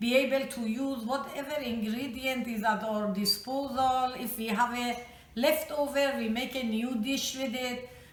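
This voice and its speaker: Fairly slow, fairly even speech from a high-pitched woman in a Persian accent, with audible room echo. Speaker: home cook. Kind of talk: cooking tutorial.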